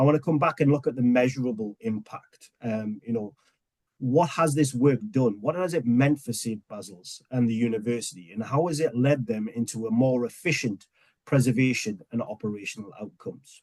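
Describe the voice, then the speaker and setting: This man has a medium-pitched voice and an English accent. He talks at a moderate pace with ordinary pitch variation. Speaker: webinar host, software customer success manager. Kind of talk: webinar presentation.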